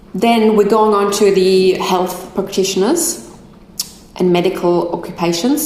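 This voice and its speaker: Against noticeable background noise and audible room echo, a woman with a German accent speaks at a fairly slow pace in a medium pitch with ordinary variation. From Germany. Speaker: migration agent. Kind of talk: live stream Q&A talk. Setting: live stream. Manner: halting over difficult words.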